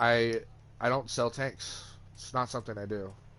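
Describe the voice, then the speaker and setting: Over music in the background, a man talks at a medium pitch. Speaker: gaming streamer. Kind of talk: gameplay rant. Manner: animated, repetitive.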